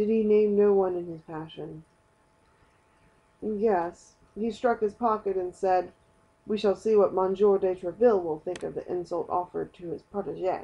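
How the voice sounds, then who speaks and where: An ordinary speaking voice from a woman, medium in pitch, with fairly even intonation at a moderate pace. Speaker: audiobook reader. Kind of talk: audiobook reading of a novel.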